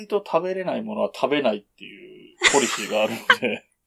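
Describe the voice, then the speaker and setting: A man speaks at a moderate pace in a high pitch. His voice moves through very wide pitch swings. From Japan, Yamanashi. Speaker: podcast co-host. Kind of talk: casual chat.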